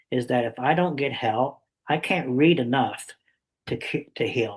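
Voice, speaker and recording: Somewhat breathy, medium-pitched man at a fairly slow pace with ordinary pitch variation. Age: 60s. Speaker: summit interviewer. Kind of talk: interview.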